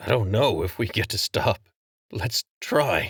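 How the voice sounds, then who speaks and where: Doing a put-on character voice, a man speaks in a raspy, medium-pitched voice at a fairly slow pace with ordinary pitch variation. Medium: read story. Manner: earnest, honest.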